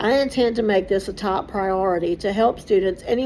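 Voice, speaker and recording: Her tone is dark and mellow, at medium pitch for a woman. She speaks at a moderate pace with ordinary pitch variation. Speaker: online student, aspiring teacher. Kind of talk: prepared self-presentation for class assignment. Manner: loud.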